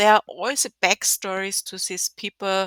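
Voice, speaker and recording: A woman speaks at a fairly slow pace with a strong German accent, her tone bright and sharp. The recording is very clean and dry, close-miked with no echo over a silent background. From Germany. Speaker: video game content creator. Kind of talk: gameplay walkthrough. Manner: halting, many fillers.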